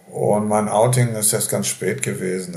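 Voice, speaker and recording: Audible room echo surrounds a man speaking at a fairly slow pace in a fairly low pitch. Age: 70s. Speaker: nursing home resident. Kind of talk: interview.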